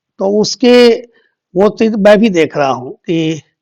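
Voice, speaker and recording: A man speaks with ordinary pitch variation. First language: Bhojpuri (speaking Hindi). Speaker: politician. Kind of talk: interview.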